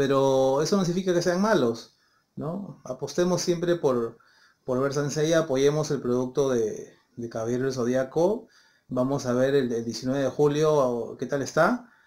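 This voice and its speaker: Set against a quiet background, a man talks at a fairly slow pace. His pitch is fairly high, with ordinary variation. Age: 30s. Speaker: YouTuber, anime commentator. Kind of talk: casual video monologue. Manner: halting, many fillers and repetitions. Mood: calm, opinionated. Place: home room. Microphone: phone near.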